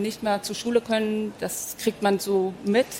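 A woman speaks at a medium pitch with a monotone, flat delivery. Her pace is moderate, and there is noticeable background noise. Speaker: author. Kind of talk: panel discussion.

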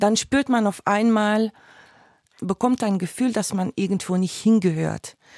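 A woman is speaking. Her pace is fairly slow. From Belgium (Flemish). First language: Dutch (speaking German). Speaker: stage actress. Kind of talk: interview.

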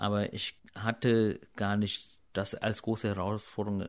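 The recording is very clean and the background silent. A man talks at a fairly low pitch. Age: 30s. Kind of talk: interview.

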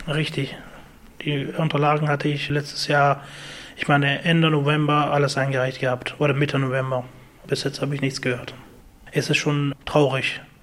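A man talks in a monotone, flat intonation at a moderate pace. Long, frequent pauses break up his speech. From Afghanistan. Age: 20s. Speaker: IT technician. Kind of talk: interview.

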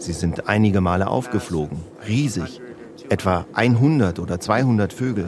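Noticeable background noise accompanies a man whose fairly low voice carries lively intonation. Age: 70s. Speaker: retired teacher, birdwatcher. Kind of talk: interview.

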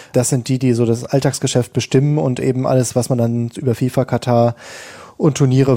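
A man speaks at a fairly quick pace. His dark, mellow tone stays monotone and flat. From Germany, Ruhr area. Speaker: sports reporter. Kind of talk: panel discussion. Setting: remote link from Qatar.

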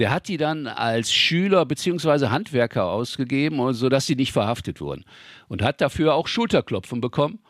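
A man's voice with vocal fry and very wide pitch swings on a very clean recording with a silent background. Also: dry, close sound with no echo. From Ruhr area, Germany. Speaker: local history author. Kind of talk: interview, storytelling.

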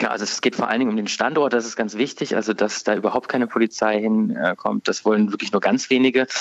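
A man rattles along very fast, his medium-pitched voice keeping a fairly even intonation. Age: 30s. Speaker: newspaper politics editor. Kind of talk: radio interview. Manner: hesitant, many filler words.

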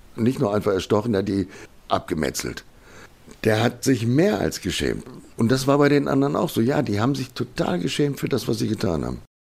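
Speaking at a fairly quick pace, a man with a medium pitch uses lively intonation and some vocal fry. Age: 50s. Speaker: crime victim, professional driver. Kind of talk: testimony.

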